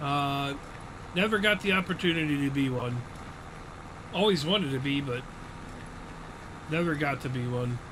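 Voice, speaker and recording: A man talks at a moderate pace with a fairly high pitch and ordinary pitch variation. Audible room echo surrounds his voice. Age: 40s. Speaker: gaming streamer. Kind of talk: live gameplay stream chat. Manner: casual, conversational.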